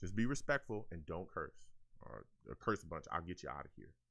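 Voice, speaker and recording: A man's bright, sharp voice with vocal fry, at a fairly quick pace. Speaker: streamer hosting call-in show about Jets football. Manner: fast talker.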